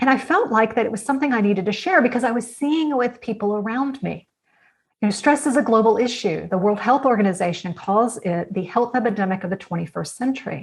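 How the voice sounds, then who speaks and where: Somewhat breathy and very fast, this voice has an American accent and lively intonation. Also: woman. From United States. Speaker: author and innovation consultant. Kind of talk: interview answer.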